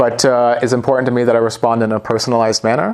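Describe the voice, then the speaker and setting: Speaking very fast in a Canadian accent, a man keeps a medium pitch and a monotone, flat delivery, with noticeable background noise. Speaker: sales manager. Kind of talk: business interview.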